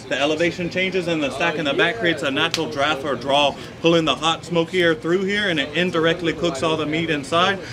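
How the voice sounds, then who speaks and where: With an American accent and a high pitch, a man rushes along at a very fast pace with hardly any pauses and fairly even intonation, over noticeable background noise. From eastern North Carolina. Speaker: pitmaster. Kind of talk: explanatory tour. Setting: outdoors. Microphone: camera far.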